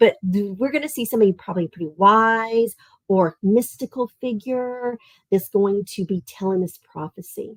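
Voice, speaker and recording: With a Southern Tennessee accent, a woman speaks at a moderate pace and medium pitch, her tone animated and her pitch variation ordinary, the sound dry and close with no echo. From US South, Tennessee. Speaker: art teacher. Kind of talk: live-streamed kids' lesson. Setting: live stream.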